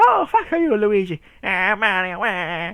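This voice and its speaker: This put-on character voice sits at a fairly high pitch in an Irish accent. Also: fairly slow pace. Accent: mock Irish. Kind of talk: comic overacting. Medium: game stream.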